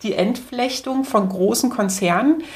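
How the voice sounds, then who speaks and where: Somewhat breathy, a woman with a fairly high pitch and ordinary pitch variation talks at a fairly slow pace. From East Berlin, Germany. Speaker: media researcher. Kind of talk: interview. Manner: hesitant, many fillers.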